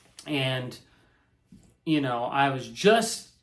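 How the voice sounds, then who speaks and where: A man talks with a fairly high pitch. There is audible room echo. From Indiana, US Midwest. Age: 30s. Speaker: guitar reviewer. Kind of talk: casual chat. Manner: animated; halting.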